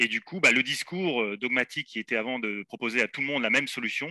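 A man speaks with a bright, sharp tone and ordinary pitch variation. The sound is dry and close with no echo, over a quiet background. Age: 40s. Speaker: sports podiatrist. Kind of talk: expert interview.

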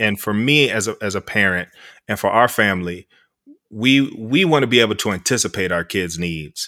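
The tone is bright and sharp, with ordinary pitch variation, on a very clean recording with a silent background. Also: man, fairly low pitch for a man, moderate pace. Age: 40s. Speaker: sociology professor. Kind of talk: casual chat.

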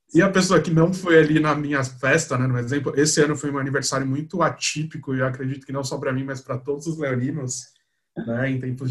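A man's fairly high, somewhat breathy voice at a fairly quick pace with fairly even intonation. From Brazil, São Paulo. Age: 20s. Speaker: advertising professional. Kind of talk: casual chat.

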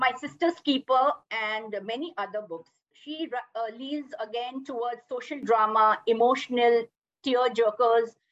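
A woman speaks in a high pitch. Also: dry, close sound with no echo. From India, Mumbai. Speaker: podcast co-host and storyteller. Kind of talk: casual chat.

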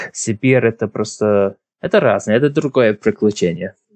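A man of medium pitch with an English accent, lively intonation and a fairly slow pace. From Ireland, Drogheda. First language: English (speaking Russian). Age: 20s. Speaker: podcast guest. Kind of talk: interview. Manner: halting.

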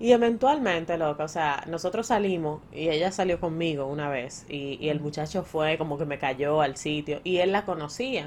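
A woman with a Dominican accent talks in an animated tone with lively intonation. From Dominican Republic. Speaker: podcast co-host. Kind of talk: casual chat.

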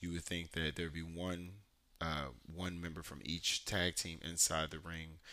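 A man talks with a bright, sharp tone and a monotone, flat intonation. His pitch is very deep and low. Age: 30s. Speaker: anime podcast host. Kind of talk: solo casual podcast talk. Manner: casual, filler-heavy with frequent ums.

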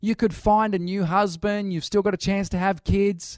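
In an Australian accent, the voice sounds dry and close with no echo, on a very clean recording with a silent background. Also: man. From Australia, Newcastle NSW. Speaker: pastor. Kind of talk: sermon.

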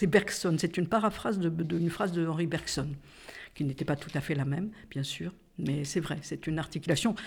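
At a moderate pace, a woman speaks in a fairly low, somewhat breathy voice with ordinary pitch variation, on a very clean recording with a silent background. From Corsica. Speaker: feminist activist, publisher. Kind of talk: casual conversation / interview.

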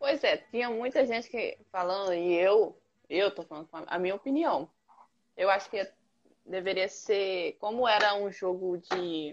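With ordinary pitch variation, the woman talks at a medium pitch. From Brazil, Rondônia. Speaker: podcast co-host. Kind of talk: casual chat. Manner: animated.

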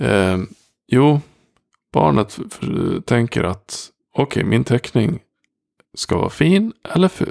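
At a fairly slow pace, a man with vocal fry and a medium pitch makes very wide pitch swings, heard in a dry, close sound with no echo. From Dalarna, Sweden. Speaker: productivity coach and podcast host. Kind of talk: solo podcast monologue. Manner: direct.

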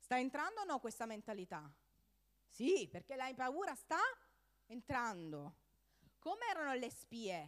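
Animated in tone, a woman with a high pitch and very wide pitch swings speaks at a fairly slow pace with long, frequent pauses. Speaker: preacher. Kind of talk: sermon. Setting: church with audience.

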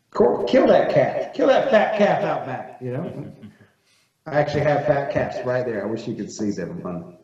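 Someone with an American accent speaks at a moderate pace with big swings in loudness and audible room echo. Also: man. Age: 30s. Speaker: magazine editor and farmer. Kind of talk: casual chat.

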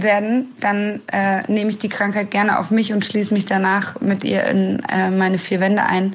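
A woman talks fairly slowly in a medium-pitched voice. Noticeable background noise runs underneath. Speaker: tour manager. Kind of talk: voice message.

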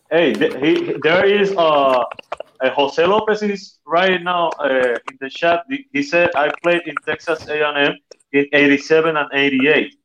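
A man's fairly high voice with a Spanish accent, very slow, with ordinary pitch variation. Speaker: podcast co-host and coach. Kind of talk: casual interview. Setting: remote from family home.

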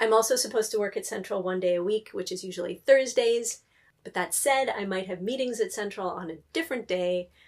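Woman with a West Coast accent, fairly high pitch, ordinary pitch variation and a fairly quick pace. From US Pacific Northwest, near Seattle. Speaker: librarian. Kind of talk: interview conversation.

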